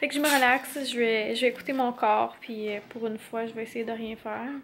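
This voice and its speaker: A woman speaks slowly-ish, at a fairly slow pace, in a high pitch. Her intonation is fairly even, with light background noise behind her. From Quebec. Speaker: family vlogger. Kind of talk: casual vlog talk to camera. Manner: chatty, hesitant with fillers. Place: home room. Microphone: phone near.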